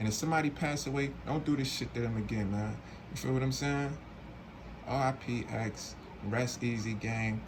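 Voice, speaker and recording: A man of medium pitch speaks at a moderate pace with audible room echo. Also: very even loudness. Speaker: streetwear unboxing reviewer. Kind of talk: casual unboxing review. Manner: slurred; animated.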